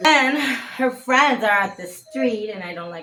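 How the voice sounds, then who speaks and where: Here a woman talks with a Mexican accent. Her intonation is lively. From Mexico. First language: Spanish. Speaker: vlogger. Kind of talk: casual chat. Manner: halting.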